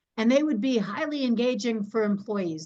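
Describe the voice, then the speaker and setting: A woman talks at a moderate pace in an ordinary speaking voice, fairly high in pitch. The background is quiet. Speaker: leadership development consultant. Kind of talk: webinar presentation. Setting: online webinar.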